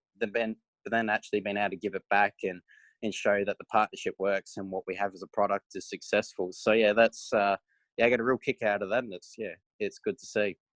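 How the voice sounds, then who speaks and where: Against a quiet background, a man with an Australian accent speaks at a fairly low pitch in a monotone, flat intonation. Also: fairly quick pace. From South Australia. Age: 20s. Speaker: racing driver. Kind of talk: interview answer.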